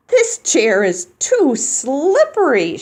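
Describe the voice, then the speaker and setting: A put-on character voice is in use. It sits at a high pitch. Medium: read story. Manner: curious, playful.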